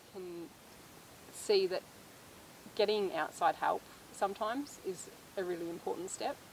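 A woman speaks with an Australian accent. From Australia, northern Victoria. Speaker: farmer and mother. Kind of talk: casual chat.

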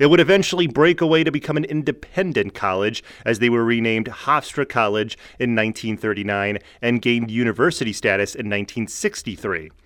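At a moderate pace, a man in a normal speaking voice talks with lively intonation at medium pitch. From New Jersey, New York City area. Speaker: sports podcaster / YouTuber. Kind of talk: scripted narration.

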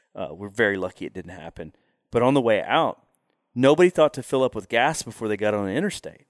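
With a Texan accent, a man talks at a very fast pace with very wide pitch swings, recorded very cleanly against a silent background with a dry, close sound and no echo. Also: medium pitch for a man, big swings in loudness. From Texas Panhandle. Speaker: hunting outfitter. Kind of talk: casual interview. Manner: halting, repetitive.

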